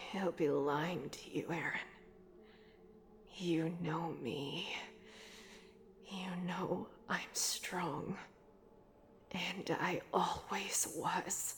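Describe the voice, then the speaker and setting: A woman whispers in a put-on character voice. She goes at a very slow pace with long, frequent pauses. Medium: audio drama. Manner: cold, scornful.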